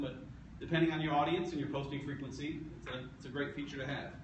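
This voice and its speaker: A man with a fairly high pitch and fairly even intonation at a very fast pace, with audible room echo and noticeable background noise. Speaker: meetup presenter. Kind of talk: presentation.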